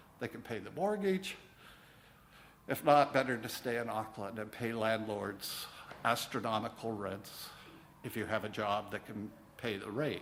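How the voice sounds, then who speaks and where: A man talks at a moderate pace and medium pitch, with ordinary pitch variation. Long, frequent pauses break it up, and there is audible room echo. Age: 60s. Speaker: minister. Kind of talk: sermon. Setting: church.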